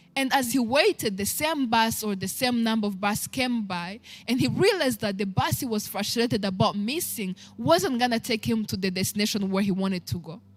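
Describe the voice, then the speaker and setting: With a Rwandan accent, a woman speaks in a fairly high, somewhat breathy voice full of lively intonation. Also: fairly quick pace. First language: Kinyarwanda. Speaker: talk show host. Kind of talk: inspirational talk. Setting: live stream.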